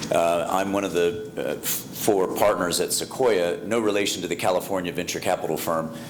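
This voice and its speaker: Speaking fairly quickly with hardly any pauses, a man with an American accent and a very deep, low voice shows ordinary pitch variation, with noticeable background noise and audible room echo. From US, Colorado. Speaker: investment fund partner. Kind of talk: conference panel talk. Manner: halting, many fillers.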